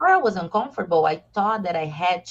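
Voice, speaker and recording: A woman's somewhat breathy voice sits at medium pitch with ordinary pitch variation. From southern Brazil. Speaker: expat interviewee. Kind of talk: casual interview chat. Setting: live video stream.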